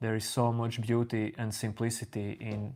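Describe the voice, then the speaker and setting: In a very clean recording with a silent background, a man speaks quietly at a fairly slow pace, his fairly low voice calm in tone and monotone, with flat intonation. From Latvia. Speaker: spiritual teacher streaming live. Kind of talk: live stream talk answering chat. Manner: calm, unhurried.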